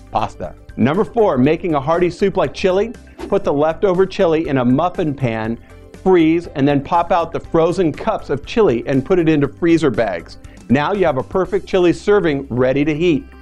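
Here a man speaks at a moderate pace. Faint music plays in the background. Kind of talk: tutorial. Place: studio. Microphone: lapel.

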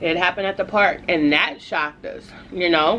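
A woman talks at a moderate pace with ordinary pitch variation. Light background noise sits under her voice. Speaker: food vlogger. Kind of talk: casual vlog chat. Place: home room. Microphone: phone near.

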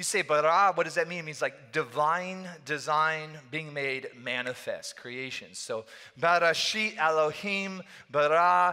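A man with a bright, sharp tone and ordinary pitch variation, fairly slow, against a quiet background. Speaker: pastor. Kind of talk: sermon. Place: church. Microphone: headset.

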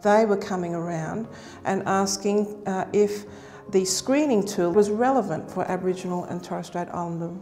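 A woman's fairly even intonation comes through light background noise. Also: medium pitch for a woman, moderate pace. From Australia. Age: 60s. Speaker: nursing lecturer and researcher; nursing lecturer. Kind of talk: interview testimony. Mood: calm, earnest. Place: hall. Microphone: lapel.

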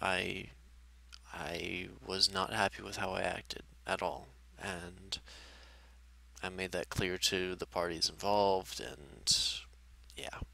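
Very slowly and with long, frequent pauses, a man speaks at a very deep, low pitch in a bright, sharp tone with fairly even intonation. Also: dry sound with no echo. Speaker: gaming YouTuber; gaming video creator. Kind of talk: personal vlog update. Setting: face cam video. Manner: halting; low-energy. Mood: regretful, apologetic. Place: home room. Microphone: headset.

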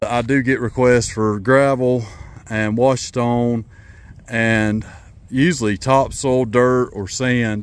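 The speaker is a man with fairly even intonation. No echo colors the dry sound. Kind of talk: casual vlog chat. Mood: relaxed, pleased. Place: open country. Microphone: phone near.

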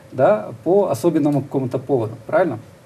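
Over light background noise, a dark, mellow, somewhat breathy tone moves at a fairly quick pace with ordinary pitch variation. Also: man. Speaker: TV interviewer host. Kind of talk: studio interview. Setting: studio. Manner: formal, polite. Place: studio. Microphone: lapel.

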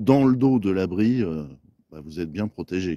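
A man with a low pitch and a dark, mellow tone speaks with lively intonation.

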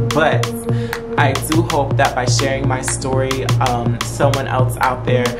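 The speaker has an American accent and a moderate pace. Loud music plays in the background. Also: man. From rural Appalachian US. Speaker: teacher and PhD student. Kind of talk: casual talk to camera. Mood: warm, encouraging. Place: home room.

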